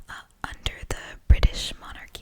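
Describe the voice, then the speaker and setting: The whispering has a moderate pace. Noticeable background noise sits behind it. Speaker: student. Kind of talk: study lecture ramble. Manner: whispered.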